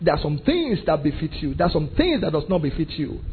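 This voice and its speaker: A man at high pitch, animated in tone, at a very fast pace. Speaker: pastor. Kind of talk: sermon. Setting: church with congregation.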